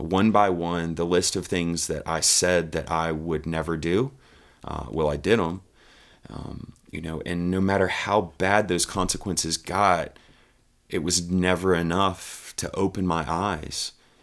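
Very deep and low in pitch, a man with an American accent speaks at a fairly slow pace with fairly even intonation in a very clean recording with a silent background. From Virginia, Richmond. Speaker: podcast host, ministry leader in recovery. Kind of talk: personal testimony. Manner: many fillers (uh, um).

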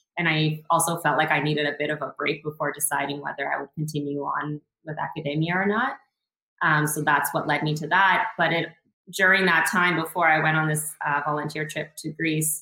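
Speaking at a fairly quick pace with a Western Canadian accent, this voice shows ordinary pitch variation. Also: woman. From Northern British Columbia, Canada (Prince George). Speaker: founder of a cultural travel project. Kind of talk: casual interview chat.

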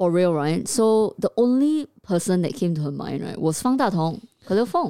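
A woman's medium-pitched voice in a Singaporean accent, moderate in pace with hardly any pauses and very wide pitch swings. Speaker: podcast co-host. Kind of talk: casual chat.

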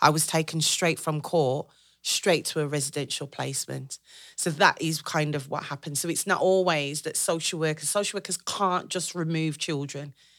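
On a very clean recording with a silent background, a woman speaks at a moderate pace. Her voice is very deep and low, with fairly even intonation. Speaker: social services manager. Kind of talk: interview.

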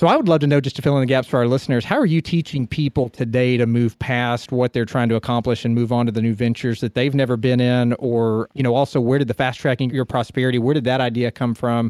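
A man at a medium pitch talks at a very fast pace with hardly any pauses, his intonation fairly even and his loudness very even. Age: 30s. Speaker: podcast host and financial advisor. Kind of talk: interview.

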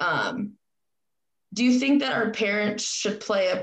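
Vocal fry runs through this woman's voice. She has a medium pitch and an American accent. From Spokane, Washington. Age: 20s. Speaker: podcast host. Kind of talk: casual chat.

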